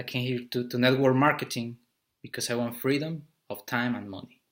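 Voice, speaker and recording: With a Spanish accent, a man speaks at medium pitch with fairly even intonation. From Mexico City, Mexico. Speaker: business coach. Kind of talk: motivational talk. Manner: halting, with repetitions.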